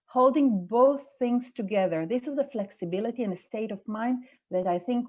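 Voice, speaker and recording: A woman with an Israeli accent speaks at a fairly quick pace in a dark, mellow tone with ordinary pitch variation. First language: Hebrew. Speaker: executive director of a religious movement. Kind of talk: interview conversation. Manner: halting.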